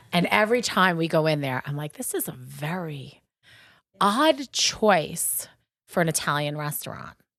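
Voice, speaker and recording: A woman with a Long Island accent speaks at a moderate pace and a fairly low pitch, her tone animated and her intonation lively, in a very clean recording with a silent background. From Long Island, New York. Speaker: podcast co-host, shop co-owner. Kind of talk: casual chat.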